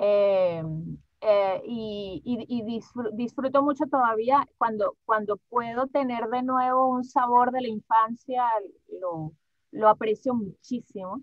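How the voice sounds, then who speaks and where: A woman speaks very slowly in a fairly high voice. Her pitch varies an ordinary amount. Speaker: voice actress. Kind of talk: interview answer.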